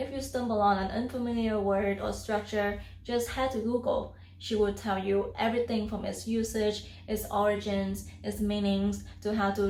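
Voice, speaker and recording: With hardly any pauses, a woman speaks at a moderate pace with a slight non-native accent. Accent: near-native English. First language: non-native English speaker. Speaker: YouTuber, self-taught English learner. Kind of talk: casual talk to camera.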